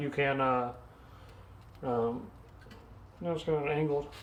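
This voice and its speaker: Mumbling, the speaker talks at a moderate pace. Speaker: DIY video creator. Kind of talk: casual tutorial.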